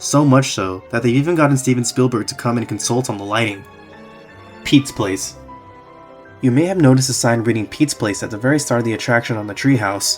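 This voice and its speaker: A man's medium-pitched voice at a very fast pace with ordinary pitch variation, music in the background. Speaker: theme park YouTuber. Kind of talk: casual video narration.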